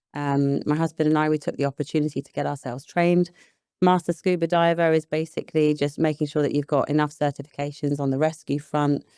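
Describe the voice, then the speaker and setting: A woman with a British accent speaks at a very deep, low pitch and a very fast pace, her tone dark and mellow and her intonation monotone and flat. The recording is very clean, with a silent background and a dry, close sound with no echo. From England, London and Hertfordshire. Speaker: property investor and business psychologist. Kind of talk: podcast interview. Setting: in person.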